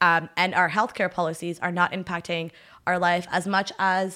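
On a very clean recording with a silent background, a woman with a Canadian accent speaks at a moderate pace in a fairly low pitch with a bright, sharp tone. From Ottawa, Canada. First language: French. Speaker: traveler and political volunteer. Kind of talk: casual interview chat. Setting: studio, drinking tea.

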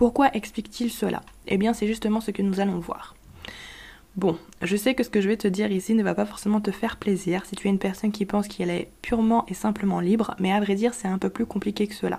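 At a fairly quick pace, a woman speaks in a flat monotone, her medium-pitched voice somewhat breathy with a dark, mellow tone. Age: 20s. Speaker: podcast host. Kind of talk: scripted explainer monologue.

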